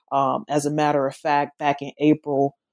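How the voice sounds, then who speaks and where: The speaker has a Southern US accent. The recording is very clean, with a silent background and a dry, close sound with no echo. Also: woman. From US South, not Memphis. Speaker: author and professor. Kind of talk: interview about her book. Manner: hesitant, filler-heavy.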